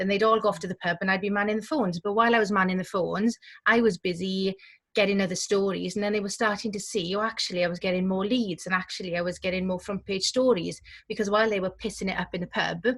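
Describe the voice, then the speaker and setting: With a strong Welsh accent, a woman speaks at medium pitch and a very fast pace. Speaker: community journalism director. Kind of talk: panel discussion. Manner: animated.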